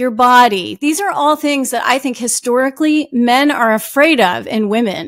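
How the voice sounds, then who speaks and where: A woman with an American accent talks at a fairly slow pace. Her pitch is high, with ordinary variation. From New Jersey. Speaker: author. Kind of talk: interview. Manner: halting; loud. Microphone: audio is good.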